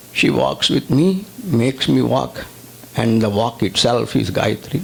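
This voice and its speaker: The speaker uses very wide pitch swings and vocal fry at a moderate pace. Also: man. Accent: Indian. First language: Telugu. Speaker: spiritual teacher. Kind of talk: religious discourse. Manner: reverent, formal.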